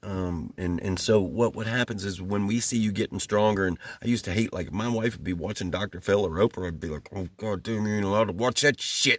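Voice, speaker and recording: In a Southern US accent, a man talks at a fairly quick pace. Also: fairly low pitch for a man, fairly even intonation, hardly any pauses. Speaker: YouTuber discussing narcissism. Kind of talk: casual monologue. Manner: hesitant, many fillers.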